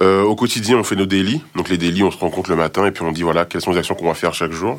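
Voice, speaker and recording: A man speaks here. His pace is fairly quick. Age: 30s. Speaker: product designer. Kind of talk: casual interview.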